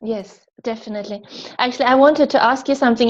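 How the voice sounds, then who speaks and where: A woman is speaking. Her pitch is fairly high. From Sweden. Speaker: interviewer. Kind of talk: interview.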